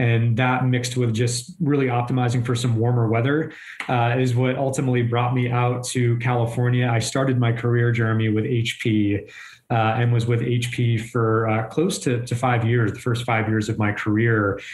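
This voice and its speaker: Heard with audible room echo, a man talks in a somewhat breathy voice with monotone, flat intonation. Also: medium pitch for a man, moderate pace. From southern Maine, New England. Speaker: chief of staff. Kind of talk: interview.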